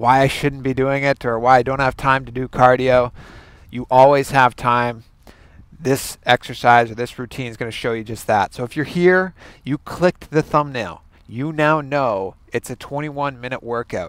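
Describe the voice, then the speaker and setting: Against a quiet background, a man speaks at a moderate pace with fairly even intonation, and the sound is dry with no echo. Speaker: fitness coach. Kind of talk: casual workout intro talk. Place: garden. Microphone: headset.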